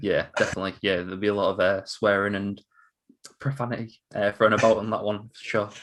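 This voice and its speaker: Very fast and fairly low-pitched, a man with an English accent speaks in a monotone, flat intonation with big swings in loudness, in a very clean recording with a silent background. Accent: English accent, noted by host. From northern England, Hull, East Yorkshire. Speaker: quiz streamer. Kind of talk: casual chat.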